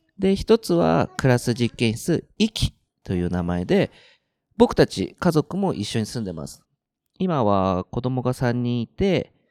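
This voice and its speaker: A man's medium-pitched voice at a fairly slow pace, with very wide pitch swings and big swings in loudness, in a very clean, silent recording with a dry, close sound and no echo. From Japan, central Tokyo. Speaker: podcast co-host, share house owner. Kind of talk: casual chat. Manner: frequent fillers, relaxed.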